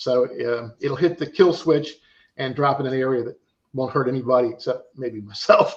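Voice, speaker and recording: A man with a normal speaking voice talks at medium pitch and a moderate pace, his intonation fairly even. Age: 60s. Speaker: drone pilot and drone show operator. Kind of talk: casual podcast interview.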